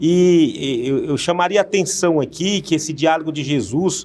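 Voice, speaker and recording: With lively intonation, a man talks at a moderate pace in a high pitch. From Northeast Brazil. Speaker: pastor and TV presenter. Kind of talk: TV Bible study dialogue. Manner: halting, many fillers.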